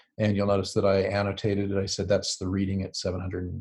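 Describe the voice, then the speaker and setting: Talking at a very fast pace, a man has a fairly low, somewhat breathy voice. The background is quiet. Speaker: STEM educator presenting a product. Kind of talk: webinar presentation. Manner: hesitant, many fillers.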